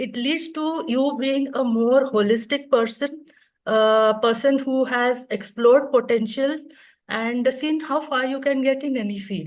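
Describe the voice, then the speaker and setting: This is a woman with a high voice. Her pitch varies in an ordinary way. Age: 60s. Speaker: retired orthodontist, speaker. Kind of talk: conference talk.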